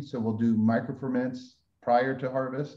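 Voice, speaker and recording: At a moderate pace, a man speaks in a dark, mellow tone with fairly even intonation. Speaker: winemaker. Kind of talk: webinar presentation. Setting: video webinar.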